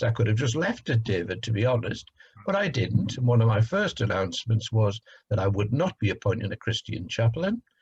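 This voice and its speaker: A man talks at a very fast pace with lively intonation. His voice is somewhat breathy and sits at a medium pitch. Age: 60s. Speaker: council leader. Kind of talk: interview. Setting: video call. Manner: hesitant, many fillers.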